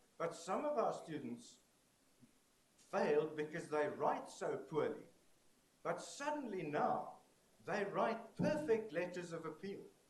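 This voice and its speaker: A man's high pitch and lively intonation at a fairly slow pace, with long, frequent pauses and audible room echo. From South Africa. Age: 60s. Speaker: conference keynote speaker. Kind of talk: keynote lecture. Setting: stage with audience. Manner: animated.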